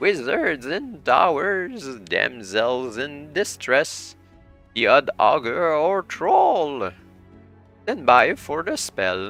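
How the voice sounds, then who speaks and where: Faint music plays behind a man doing a put-on character voice. He speaks at a very slow pace and a fairly high pitch. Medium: read story. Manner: rambling, chatty.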